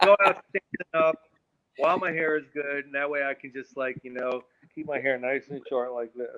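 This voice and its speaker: At a moderate pace, a man with a normal speaking voice talks at a fairly high pitch, with ordinary pitch variation and big swings in loudness. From New York, Long Island. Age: 60s. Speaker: musician. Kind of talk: casual chat.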